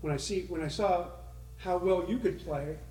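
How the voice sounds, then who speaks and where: A man speaks with audible room echo. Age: 60s. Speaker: podcast host interviewing former music store staff. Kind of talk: casual chat.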